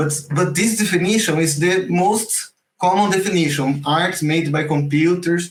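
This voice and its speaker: With a Portuguese accent, a man talks in a high pitch at a moderate pace. His pitch varies in an ordinary way. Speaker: generative art teacher. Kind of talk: online class. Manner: halting, repeats words.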